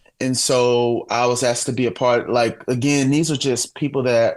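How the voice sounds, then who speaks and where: Here a man with a St. Louis accent speaks at medium pitch and a moderate pace. His intonation is monotone and flat, on a very clean recording with a silent background. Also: hardly any pauses, very even loudness. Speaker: worship director and singer-songwriter. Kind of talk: podcast interview.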